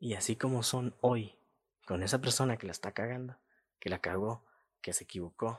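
A man's medium-pitched voice at a moderate pace, with long, frequent pauses, ordinary pitch variation, a dry, close sound with no echo and a quiet background. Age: 20s. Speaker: podcast host. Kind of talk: opinion monologue.

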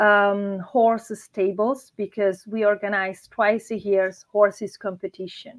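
A woman with an Italian accent speaks at a very slow pace. Her medium-pitched voice keeps a fairly even intonation. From Italy, Marche (Urbino). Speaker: winery owner. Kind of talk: interview. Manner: halting.

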